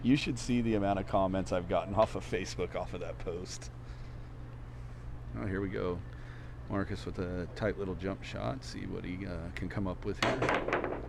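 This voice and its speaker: The voice is loud, with very wide pitch swings, a moderate pace and long, frequent pauses, and the room echo is audible. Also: man, very deep, low pitch for a man. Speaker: pool commentator. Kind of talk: live commentary. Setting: pool hall live stream.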